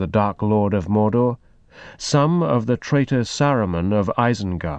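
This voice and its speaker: A man with an unremarkable speaking voice talks at a moderate pace with lively intonation against a quiet background. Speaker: publisher announcer. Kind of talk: formal scripted introduction and recap. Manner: formal, even.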